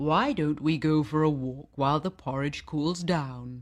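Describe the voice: Against a quiet background, a put-on character voice sits at a low-to-middle pitch. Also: moderate pace.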